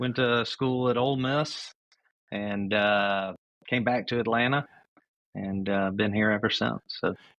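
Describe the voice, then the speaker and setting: Speaking with a Memphis accent, a man with a medium pitch moves at a fairly slow pace, with long, frequent pauses, very even loudness and fairly even intonation. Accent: Southern US (Memphis). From US South, Memphis, Tennessee. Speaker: company CEO. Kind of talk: podcast interview. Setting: remote call. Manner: halting, many fillers.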